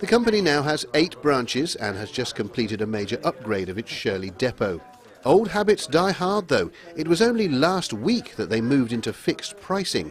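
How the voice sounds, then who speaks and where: A man's fairly high voice with very wide pitch swings, over music in the background. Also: moderate pace. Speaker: TV news reporter. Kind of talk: TV news report.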